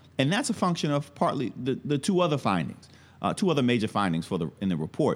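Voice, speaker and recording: In a very clean recording with a silent background, a man with an American accent talks with vocal fry and very wide pitch swings. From New York City (Brooklyn). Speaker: history professor. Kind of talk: interview. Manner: halting, many fillers.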